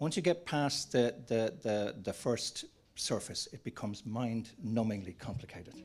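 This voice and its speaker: Lively intonation from a man with an Irish accent. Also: medium pitch for a man, moderate pace. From Ireland. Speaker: panel moderator, screenwriters' federation executive. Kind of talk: panel discussion. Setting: conference with audience and online.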